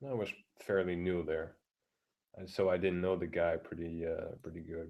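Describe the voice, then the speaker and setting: Quiet and very deep in pitch, a man speaks at a moderate pace. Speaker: vlogger. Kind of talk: casual rant. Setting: live stream at home. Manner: halting.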